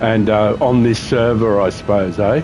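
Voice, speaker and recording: With noticeable background noise, a man of medium pitch speaks in an Australian accent with fairly even intonation. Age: 60s. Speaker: gaming streamer. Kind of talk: casual chat. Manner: halting.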